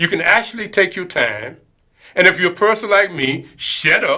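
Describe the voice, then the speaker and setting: Here a man's voice is raised and projected, high in pitch, with a bright, sharp tone. He keeps a moderate pace. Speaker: public access TV host. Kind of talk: casual commentary.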